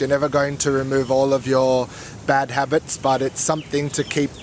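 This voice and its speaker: A man's voice, fairly high in pitch. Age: 30s. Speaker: yoga teacher. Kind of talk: interview.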